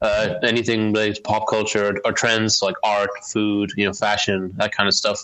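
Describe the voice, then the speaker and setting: A man's medium-pitched voice, with an American accent, keeps a moderate pace. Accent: sounds American to others, confusing. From Northern Ireland. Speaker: magazine editor. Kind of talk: casual chat. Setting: remote call.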